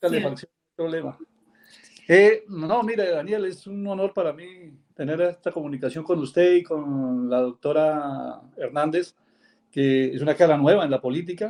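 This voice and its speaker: Loudness swings widely as a man speaks at a moderate pace. His pitch is fairly high, with ordinary variation. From Colombia. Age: 60s. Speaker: caller, lawyer. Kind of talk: call-in comment on live show. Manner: halting, many fillers.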